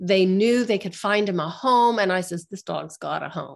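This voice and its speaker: On a very clean recording with a silent background, a woman with an American accent has an ordinary speaking voice, a medium pitch, ordinary pitch variation and a moderate pace. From Western Pennsylvania. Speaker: author and fitness instructor. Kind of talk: casual interview chat.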